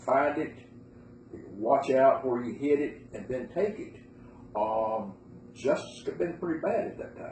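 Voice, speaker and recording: Amid audible room echo, a man with an Appalachian accent talks at a fairly slow pace with lively intonation. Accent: Appalachian Southern US. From western North Carolina, Bryson City. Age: 70s. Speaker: interviewee recalling moonshining. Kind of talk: oral history interview.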